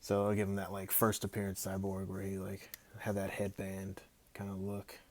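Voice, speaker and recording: Mumbling, a man speaks. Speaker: action figure customizer. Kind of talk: casual livestream chat while working. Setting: Instagram live stream.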